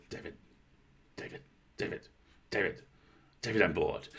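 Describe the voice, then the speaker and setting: A man puts on a raspy character voice. He moves at a fairly quick pace. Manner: bored, every phrase sliding down in pitch.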